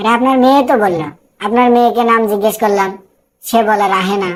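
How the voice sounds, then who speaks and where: A woman puts on a cartoonish character voice at a fairly high pitch. She talks at a fairly quick pace with ordinary pitch variation. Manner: glib, rhyming banter.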